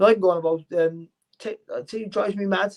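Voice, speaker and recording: A man speaks in a Cardiff accent with ordinary pitch variation. The sound is dry and close, with no echo. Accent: Welsh (Cardiff). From Wales, Cardiff. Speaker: boxing commentator and former world champion boxer. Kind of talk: casual interview chat. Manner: fast.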